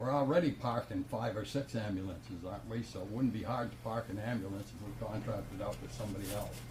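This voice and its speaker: Very fast, almost pause-free delivery with lively intonation over noticeable background noise. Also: man. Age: 80s+. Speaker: resident speaking at public comment. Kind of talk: heated debate. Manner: animated.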